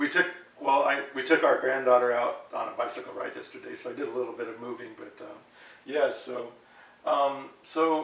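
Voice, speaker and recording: A man's moderate-paced speech comes with audible room echo and noticeable noise in the background. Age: 60s. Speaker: health chat host. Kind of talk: interview. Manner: halting.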